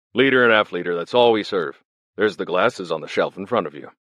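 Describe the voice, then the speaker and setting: A man at medium pitch does a put-on character voice at a very fast pace with lively intonation. The sound is dry and close, with no echo. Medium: read story. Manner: curt, mocking.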